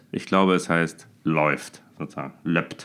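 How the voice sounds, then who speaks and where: A man talks with fairly even intonation, moving at a very slow pace. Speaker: performer and podcast co-host. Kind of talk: casual chat.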